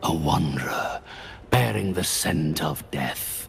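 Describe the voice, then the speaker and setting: With clear background noise behind him, a man puts on a character voice at a very deep, low pitch and a fairly slow pace. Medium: short film. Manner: slow, menacing.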